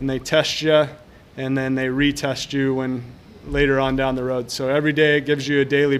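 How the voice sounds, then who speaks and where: Speaking at a fairly quick pace over noticeable background noise, a man keeps a fairly high pitch and a monotone, flat intonation. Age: 40s. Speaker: gym owner and podcast host. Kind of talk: casual solo podcast monologue. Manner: hesitant, many fillers and repeated words.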